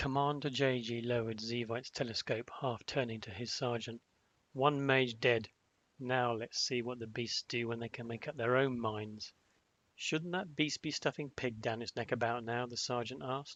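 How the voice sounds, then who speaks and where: Moderate pace, an ordinary speaking voice, a man's medium pitch and fairly even intonation over a quiet background. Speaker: author reading own book. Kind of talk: audiobook fantasy narration.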